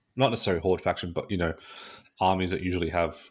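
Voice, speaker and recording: A man with an Australian accent speaks in a very deep, low voice on a very clean recording with a silent background. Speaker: podcast co-host. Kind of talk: casual chat.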